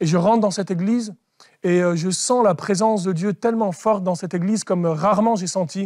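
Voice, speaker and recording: A man's high-pitched voice at a fairly quick pace, with fairly even intonation against a quiet background. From France, of Algerian family. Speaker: convert giving faith testimony; guest. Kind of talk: testimony interview. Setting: studio. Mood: earnest, reflective storytelling. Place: studio.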